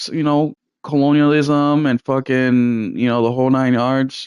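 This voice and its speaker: A man speaks with a Spanish accent. The sound is dry and close with no echo, over a quiet background. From Puerto Rico. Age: 30s. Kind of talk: casual chat. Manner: animated.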